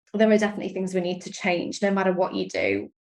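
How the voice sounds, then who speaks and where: A woman with a British accent. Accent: British accent, noticeable. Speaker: sales and strategy coach. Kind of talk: interview podcast. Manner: animated, enthusiastic.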